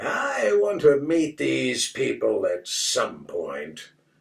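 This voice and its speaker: This put-on character voice is raspy. It moves at a very slow pace. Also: man. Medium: read story. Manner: skeptical, blunt.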